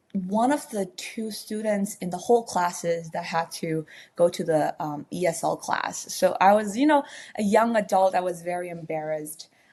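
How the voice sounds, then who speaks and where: A woman with a dark, mellow tone speaks in a Burmese accent at a moderate pace with lively intonation. The recording is very clean, with a silent background. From Myanmar. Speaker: baker and former accountant. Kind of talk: podcast interview. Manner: halting, many fillers.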